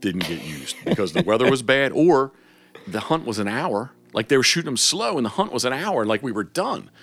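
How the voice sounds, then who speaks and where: At a fairly quick pace, this speaker with an American accent swings very widely in pitch. Vocal fry runs through the voice. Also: man, medium pitch for a man. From Maryland, Havre de Grace. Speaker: waterfowl hunting guide. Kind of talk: casual interview chat. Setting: home garage.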